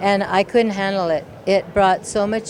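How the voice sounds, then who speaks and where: The delivery moves at a moderate pace with fairly even intonation. Noticeable background noise runs underneath. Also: woman. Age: 60s. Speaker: event participant. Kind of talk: interview. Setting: at a live event.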